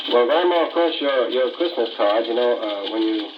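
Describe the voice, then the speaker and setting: There is noticeable background noise behind this man. He has a medium pitch and a fairly quick pace. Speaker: radio interviewer. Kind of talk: radio interview questions.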